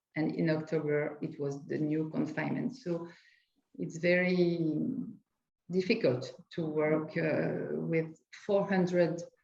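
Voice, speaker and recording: In a French accent, a woman with a very deep, low voice and vocal fry speaks at a fairly slow pace with ordinary pitch variation, long, frequent pauses and audible room echo. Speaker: lawyer. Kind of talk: panel discussion. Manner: halting.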